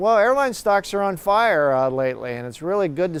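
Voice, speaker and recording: A man uses an ordinary speaking voice at a moderate pace with lively intonation. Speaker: university professor and airline industry expert. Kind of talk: TV news expert interview answer.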